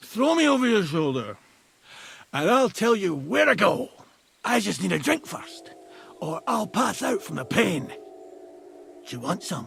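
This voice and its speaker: A put-on character voice from a man, high-pitched for a man, at a fairly slow pace. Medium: video game. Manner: crude, boisterous.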